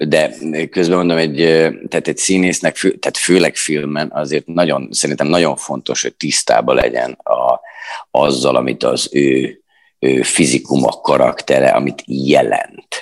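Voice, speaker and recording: The sound is dry and close, with no echo. A man talks at a fairly slow pace. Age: 40s. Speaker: stage actor and theatre director. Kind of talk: interview. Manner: halting.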